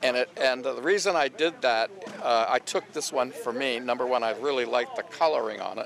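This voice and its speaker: Noticeable background noise runs beneath a man who speaks fairly quickly. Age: 70s. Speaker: paintball inventor. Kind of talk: interview. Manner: halting, many fillers.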